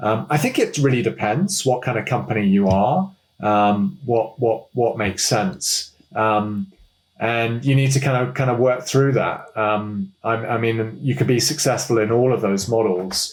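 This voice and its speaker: A man with a British accent speaks at a fairly slow pace in a medium, somewhat breathy voice, with lively intonation and very even loudness. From United Kingdom. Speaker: management consultant. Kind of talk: interview answer.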